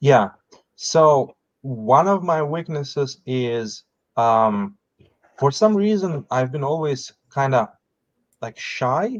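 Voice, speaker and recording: A man talks at a very slow pace, with long, frequent pauses and a non-native accent. His pitch is fairly high, and his intonation is lively. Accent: foreign. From outside the US, foreign-born. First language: not English. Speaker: business founder. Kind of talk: podcast interview. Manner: halting, with repetitions.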